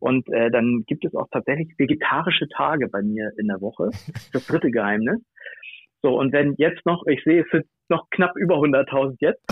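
Here a man talks at a moderate pace. His fairly high pitch moves with lively intonation. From northern Germany, Bad Oldesloe between Hamburg and Lübeck. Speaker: hobby griller and food blogger. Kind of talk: casual interview chat. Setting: phone or remote call. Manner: hesitant with many fillers.

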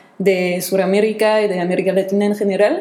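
Over noticeable background noise and audible room echo, a woman speaks at a moderate pace with fairly even intonation. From France. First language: French (speaking Spanish). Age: 20s. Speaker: podcast guest, former volunteer abroad. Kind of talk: casual chat.

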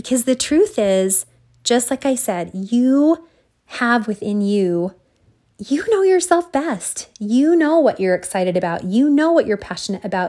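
A woman speaks at a fairly slow pace with a high pitch and a dark, mellow tone. Her pitch swings very wide. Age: 40s. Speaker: solo podcaster, self-employed former dental hygienist. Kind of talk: casual motivational monologue. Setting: solo recording at night.

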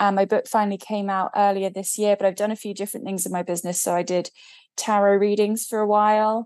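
An English accent over a quiet background. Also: woman. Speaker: spiritual business coach and author. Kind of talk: interview.

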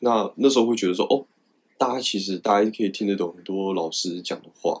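Speaking at a moderate pace, a man with a fairly low pitch has an unremarkable speaking voice and fairly even intonation. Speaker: fighter pilot. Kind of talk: interview.

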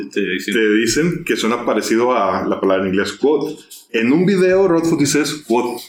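With music in the background and audible room echo, a man speaks at a medium pitch with very wide pitch swings. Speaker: podcast host. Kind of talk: casual chat.

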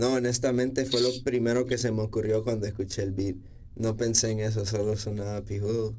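Dark and mellow in tone, a man's voice sits at a medium pitch. He talks fairly quickly with flat, monotone intonation. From Honduras, San Pedro Sula. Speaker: rapper. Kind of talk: casual interview.

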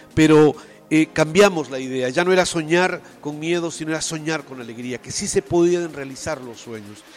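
With an unremarkable speaking voice, a man talks at a moderate pace and fairly high pitch, showing ordinary pitch variation and big swings in loudness. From Peru, Tacna. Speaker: theatre director and teacher. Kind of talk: interview.

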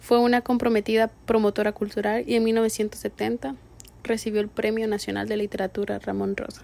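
A woman speaks at a moderate pace with fairly even intonation. Her fairly high voice has a dark, mellow tone. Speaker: podcast co-host. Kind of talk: casual chat.

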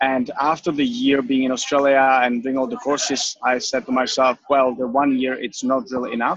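This man speaks with a Czech accent at medium pitch and a moderate pace. His intonation is fairly even, and the sound is dry and close with no echo. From Czech Republic. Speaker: personal trainer. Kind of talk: interview.

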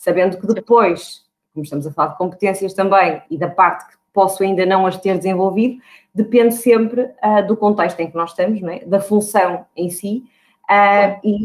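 A woman's voice at medium pitch, with ordinary pitch variation and a moderate pace. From Portugal, Porto. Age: 30s. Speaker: HR recruiter. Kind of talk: podcast interview. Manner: hesitant, with frequent fillers and repetitions.

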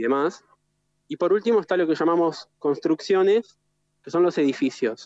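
Dry, close sound with no echo carries a man's unremarkable speaking voice. He keeps a moderate pace with ordinary pitch variation. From Argentina, Gualeguaychú (Entre Ríos). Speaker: architect. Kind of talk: interview conversation. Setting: remote connection, outdoors in the city.

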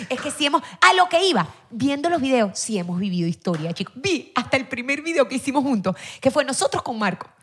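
A loud, high-pitched woman's voice at a fairly quick pace, with very wide pitch swings. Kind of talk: casual chat.

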